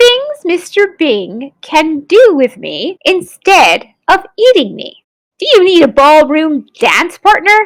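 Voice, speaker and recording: A woman's put-on character voice, extremely high-pitched, at a fairly slow pace. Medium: read story.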